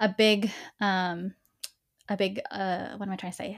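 In a normal speaking voice, a woman with an American accent talks at medium pitch with ordinary pitch variation, on a very clean recording with a silent background. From Texas (Dallas). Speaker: political organizer and former teacher. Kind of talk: interview.

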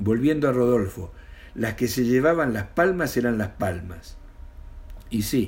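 This man's voice is somewhat breathy and sits at a medium pitch. He talks at a moderate pace with lively intonation. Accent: Argentine. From Argentina, Mendoza. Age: 60s. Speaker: retired storyteller. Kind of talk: reading aloud.

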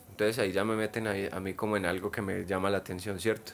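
A man with a Paisa Colombian accent speaks in a very clean recording over a silent background. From Colombia, Medellín. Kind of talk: casual chat.

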